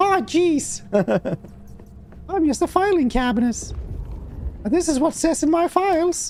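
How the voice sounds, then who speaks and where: A put-on character voice, extremely high and whiny, with long, frequent pauses over clear background noise. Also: moderate pace. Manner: silly, whiny.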